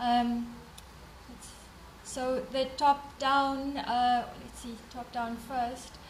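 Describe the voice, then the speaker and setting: A high-pitched woman's voice, very slow and monotone, with long, frequent pauses, audible room echo and noticeable background noise. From South Africa. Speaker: development bank representative. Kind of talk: conference closing remarks. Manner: hesitant, many fillers.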